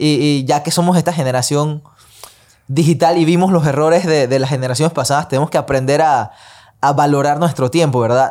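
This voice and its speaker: Here a man uses a plain, everyday voice, pitched fairly high, at a fairly quick pace. His intonation is fairly even and his loudness very even. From Panama. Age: 20s. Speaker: singer and independent artist. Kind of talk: casual chat.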